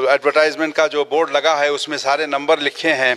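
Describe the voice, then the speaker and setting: A man's fairly high-pitched voice, monotone and flat, at a moderate pace. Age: 60s. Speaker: trust organiser and community worker. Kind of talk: media interview appeal. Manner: halting with filler phrases.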